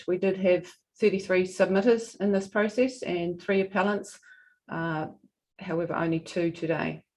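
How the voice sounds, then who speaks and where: A woman with a New Zealand accent, moderate pace and fairly even intonation. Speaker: regional council representative. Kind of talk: formal presentation at a hearing. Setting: hearing room, streamed live. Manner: soft-spoken.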